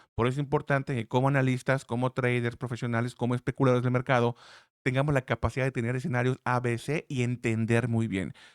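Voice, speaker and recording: Very fast, monotone, flat speech from a man of medium pitch, with a dry, close sound with no echo on a very clean recording with a silent background. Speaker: trading analyst YouTuber. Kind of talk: market analysis tutorial. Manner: loud.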